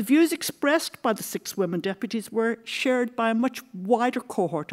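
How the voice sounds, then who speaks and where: In a very clean recording with a silent background, a woman with an Irish accent talks at a moderate pace with very wide pitch swings. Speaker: history professor. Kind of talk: lecture.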